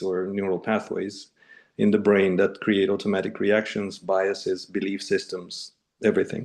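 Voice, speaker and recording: A man speaks with a Russian accent. The background is quiet. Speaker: neuroplasticity coach. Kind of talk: casual chat. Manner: halting.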